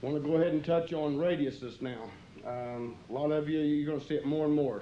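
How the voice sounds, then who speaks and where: A fairly high-pitched man at a fairly quick pace, with a dark, mellow tone, fairly even intonation and audible room echo. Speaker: concrete contractor instructor. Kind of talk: instructional training video. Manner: fast.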